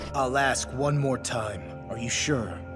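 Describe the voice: Over loud music in the background, a man does a cartoonish character voice at medium pitch and a fairly slow pace.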